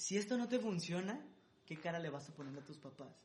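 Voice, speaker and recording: This man speaks with a high pitch. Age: 20s. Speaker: singer-songwriter and music producer. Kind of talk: interview.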